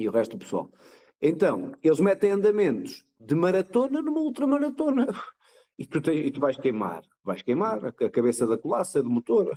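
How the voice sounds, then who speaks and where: Speaking at a moderate pace, a man uses a high voice with very wide pitch swings and a dark, mellow tone, in a dry, close sound with no echo. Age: old. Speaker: ultramarathon cyclist. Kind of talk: casual chat.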